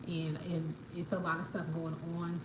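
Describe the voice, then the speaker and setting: Amid noticeable background noise and audible room echo, a woman with an American accent talks at a moderate pace with a fairly low pitch. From New York, the Bronx. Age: 30s. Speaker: livestreamer. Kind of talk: casual chat. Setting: live stream at home. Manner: halting.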